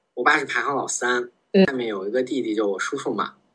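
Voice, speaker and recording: A man is speaking. His tone is bright and sharp. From Beijing. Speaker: office worker, skier. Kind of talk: casual interview chat.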